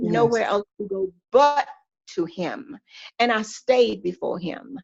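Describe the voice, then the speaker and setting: At a very slow pace, a woman with a Southern US accent speaks in a fairly high pitch with lively intonation. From Georgia, USA. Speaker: pastor's wife, church first lady. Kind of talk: podcast interview answer, faith testimony.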